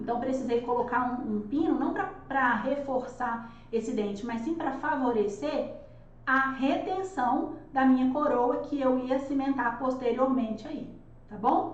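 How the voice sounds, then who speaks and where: A loud woman speaks with a high pitch at a fairly slow pace. Her voice carries audible room echo. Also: ordinary pitch variation. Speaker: dentist teaching dental courses. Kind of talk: live online lecture.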